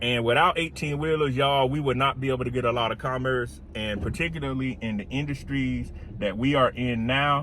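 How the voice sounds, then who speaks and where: With a South Carolina accent, a man talks at a fairly quick pace, with medium pitch and ordinary pitch variation. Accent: South Carolina country. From US South, South Carolina. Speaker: career and automation consultant. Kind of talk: casual vlog while driving. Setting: in a car, driving. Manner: casual, conversational.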